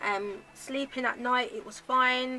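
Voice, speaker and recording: Over music in the background, a woman speaks with ordinary pitch variation. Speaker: lifestyle vlogger. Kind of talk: casual chat. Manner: halting.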